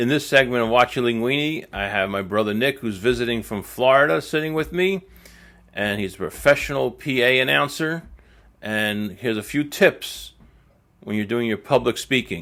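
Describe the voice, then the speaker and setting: With a New Jersey accent, a man talks at a moderate pace in a medium pitch, his tone bright and sharp and his intonation lively. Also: very clean recording, silent background. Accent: Elizabeth, New Jersey. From New Jersey (Elizabeth). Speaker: local marketing show host. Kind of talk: casual business show talk. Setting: studio, seated with guest.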